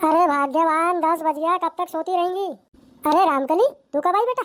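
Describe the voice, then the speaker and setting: A woman uses a cartoonish character voice that is squeaky and extremely high in pitch. She talks at a fairly quick pace. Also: ordinary pitch variation. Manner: weary, plaintive.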